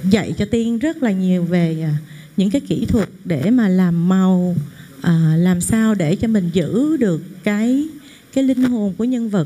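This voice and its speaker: The woman speaks at a very slow pace. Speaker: actress thanking mentors. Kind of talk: emotional thank-you speech. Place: hall.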